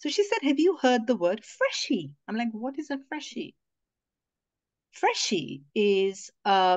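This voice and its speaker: At a fairly slow pace, a woman speaks at a high pitch with very wide pitch swings. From India, Mumbai. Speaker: feminist activist and podcaster. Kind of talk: casual interview conversation.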